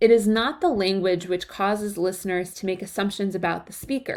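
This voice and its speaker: Fairly even intonation carries this moderate-paced speech with an American accent. The recording is very clean, with a silent background. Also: woman. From Chicago area, US Midwest. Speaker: college writing instructor. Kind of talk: lecture.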